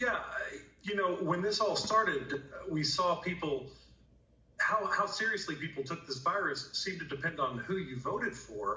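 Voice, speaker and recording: Noticeable background noise accompanies a man who talks at a moderate pace. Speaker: emergency room doctor. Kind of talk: TV news interview.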